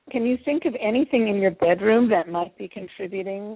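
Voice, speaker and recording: A woman with an American accent speaks at a fairly quick pace in an unremarkable speaking voice, her medium pitch showing ordinary variation. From Philadelphia, US. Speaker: energy healer. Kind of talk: radio interview. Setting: radio show.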